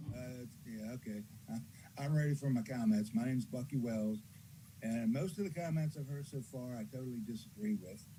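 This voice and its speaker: With a dark, mellow tone and lively intonation, a man speaks in a somewhat breathy voice. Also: medium pitch for a man, fairly quick pace. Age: 70s. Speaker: caller. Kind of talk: public comment. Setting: Zoom call.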